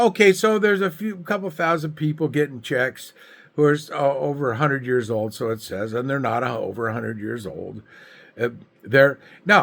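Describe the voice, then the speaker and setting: In an American accent, a man's voice makes very wide pitch swings. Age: 70s. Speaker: political commentator vlogger. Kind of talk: political rant to camera. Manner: animated; halting.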